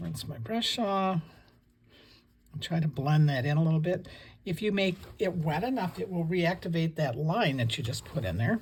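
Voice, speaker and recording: A soft-spoken woman talks in a fairly low, somewhat breathy voice with a relaxed tone and lively intonation. Her pace is moderate, broken by long, frequent pauses. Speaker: watercolor painting teacher. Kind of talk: tutorial. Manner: relaxed, conversational.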